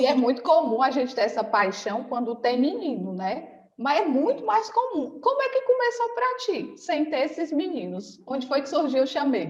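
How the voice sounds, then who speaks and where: At a moderate pace and with hardly any pauses, a woman speaks in a high voice with very wide pitch swings. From Ceará, Brazil. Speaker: podcast host, nursing consultancy teacher. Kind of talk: interview podcast.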